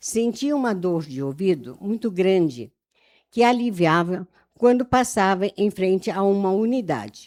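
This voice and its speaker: Her voice sits at a medium pitch with a dark, mellow tone, moving at a moderate pace with lively intonation. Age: 70s. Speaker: church member. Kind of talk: testimony.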